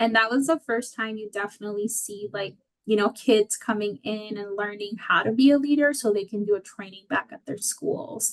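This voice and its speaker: A woman with a Spanish accent at a fairly high pitch and moderate pace, with hardly any pauses, big swings in loudness and ordinary pitch variation. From Florida, US. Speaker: healthcare professional, former aid volunteer. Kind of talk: interview.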